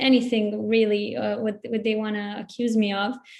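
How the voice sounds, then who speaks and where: Speaking at a moderate pace, a woman with a Bosnian accent keeps her intonation flat and monotone. Her pitch is fairly high. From Bosnia (born in Zagreb, Croatia). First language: Bosnian/Serbo-Croatian. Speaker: writer. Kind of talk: panel discussion. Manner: halting.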